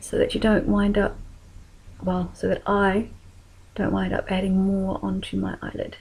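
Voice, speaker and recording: A woman in a New Zealand accent talks at a fairly slow pace. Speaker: makeup tutorial creator. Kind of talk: tutorial.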